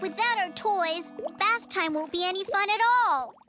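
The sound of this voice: An extremely high-pitched, cartoonish character voice at a moderate pace, with faint music in the background.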